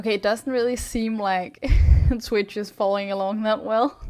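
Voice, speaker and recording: The speaker talks at a moderate pace with a Danish accent and fairly even intonation. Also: woman. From Denmark. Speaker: streamer. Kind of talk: live stream chat. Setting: live stream.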